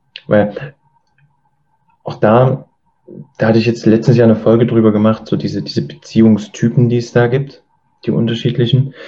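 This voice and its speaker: A man with a dark, mellow tone and vocal fry speaks at a moderate pace, his intonation fairly even. He leaves long, frequent pauses. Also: medium pitch for a man. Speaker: podcast host. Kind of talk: interview.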